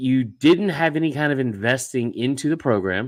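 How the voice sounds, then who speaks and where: The speaker is a man. He talks loudly. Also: very clean recording, silent background. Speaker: college football podcast host. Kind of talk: casual chat. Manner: fast.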